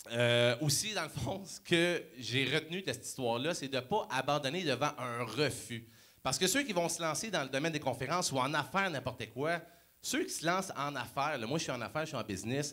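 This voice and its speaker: Speaking with a Quebec accent, a man uses a fairly high pitch and a fairly quick pace. His tone is bright, sharp and animated, with ordinary pitch variation. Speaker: motivational speaker. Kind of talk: motivational talk.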